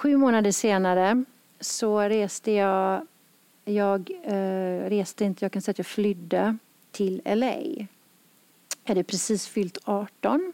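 On a very clean recording with a silent background and a dry, close sound with no echo, the speech comes at a very slow pace with very even loudness, ordinary pitch variation and long, frequent pauses. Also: woman, medium pitch for a woman. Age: 50s. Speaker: yoga center owner and podcast host. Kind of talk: personal storytelling conversation. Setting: yoga studio.

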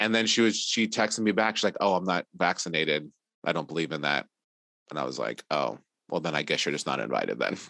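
Very fast and lively, a man speaks with a very deep, low pitch, a bright, sharp tone and vocal fry in a dry, close sound with no echo. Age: 40s. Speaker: artist and illustrator, parent. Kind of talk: casual chat.

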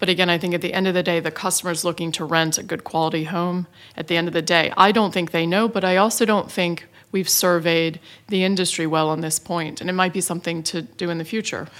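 A woman speaks very fast with an American accent and fairly even intonation. Her pitch is fairly low. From United States. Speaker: property development executive. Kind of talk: panel discussion.

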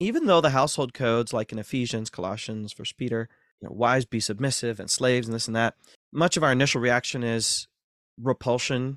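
A man with an American accent, medium pitch and ordinary pitch variation at a fairly quick pace, in a dry, close sound with no echo and a very clean recording with a silent background. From US Midwest, north central Ohio. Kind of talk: interview.

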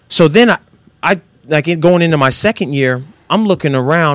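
A man speaks at a fairly quick pace with lively intonation in a plain, everyday voice. The recording is very clean, with a silent background. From Northern California. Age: 30s. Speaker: former football player and motivational speaker. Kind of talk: casual interview.

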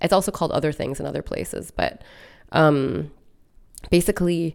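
A woman speaks at a moderate pace in a very deep, low pitch with vocal fry. The recording is very clean, with a silent background. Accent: General American. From United States. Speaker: artist and activist. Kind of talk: interview. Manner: hesitant, many fillers.

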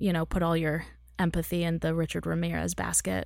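Recorded very cleanly against a silent background, a woman speaks with an American accent. Her tone is animated and her pace moderate. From Texas. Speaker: show host and producer. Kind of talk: casual interview. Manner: animated, laughs often.

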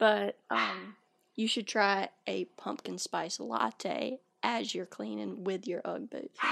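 Recorded very cleanly with a silent background and a dry, close sound free of echo, a woman speaks at a very slow pace. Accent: Southern US. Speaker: podcast co-host. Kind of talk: casual chat. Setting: studio.

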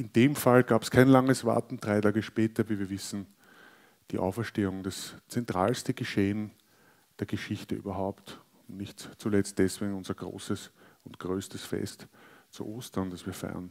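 In a normal speaking voice, a man with a fairly low pitch talks at a moderate pace with fairly even intonation and big swings in loudness. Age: 40s. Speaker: pastor. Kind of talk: sermon.

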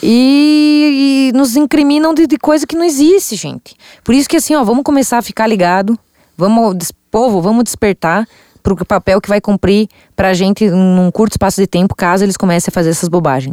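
Speaking at a fairly quick pace, a woman has a fairly high voice with a dark, mellow tone and very wide pitch swings. The sound is dry and close, with no echo. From Santa Catarina interior, Brazil. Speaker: state legislator. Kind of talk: interview.

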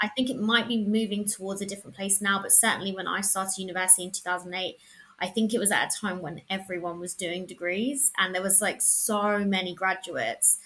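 Fairly quick speech from a woman with a southern English accent, medium pitch, and fairly even intonation over noticeable background noise. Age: 30s. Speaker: freelance journalist. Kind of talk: casual interview chat.

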